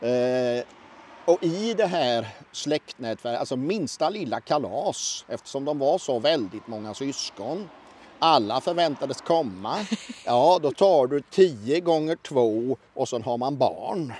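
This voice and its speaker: Speaking at a very slow pace, a man uses a fairly high pitch and lively intonation. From Småland, near Oskarshamn, Sweden. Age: 50s. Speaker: storyteller and local heritage consultant. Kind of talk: storytelling interview. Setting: outdoors in a parking lot.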